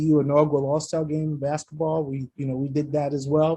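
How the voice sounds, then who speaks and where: A man's fairly high, somewhat breathy voice with a dark, mellow tone, monotone, flat intonation, a very fast pace and an American accent. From New York. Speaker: university athletic director. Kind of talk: radio interview.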